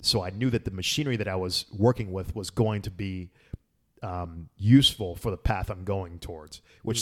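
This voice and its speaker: A man's normal speaking voice, fairly low in pitch, at a fairly quick pace with ordinary pitch variation, on a very clean recording with a silent background. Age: 30s. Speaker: former physics graduate student. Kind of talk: casual chat.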